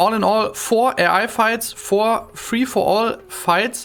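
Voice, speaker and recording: A woman with a German accent and a fairly high pitch, against noticeable background noise. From Germany. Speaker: video game modder and commentator. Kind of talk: game commentary. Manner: halting, many fillers.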